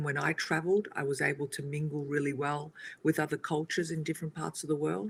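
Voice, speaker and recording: A woman's very deep, low voice in an Australian accent at a moderate pace. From Australia, Italian family. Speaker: co-host. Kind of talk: casual chat.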